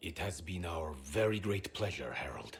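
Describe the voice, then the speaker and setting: Speaking at a moderate pace, a man uses a put-on character voice pitched very deep and low. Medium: video game. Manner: courteous, formal.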